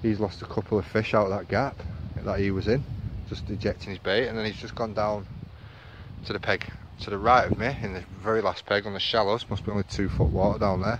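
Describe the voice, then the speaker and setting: A man talks fairly quickly in a northern English accent. His pitch is fairly low and his intonation fairly even. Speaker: angler vlogger. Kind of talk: casual vlog commentary. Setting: outdoors by a lake.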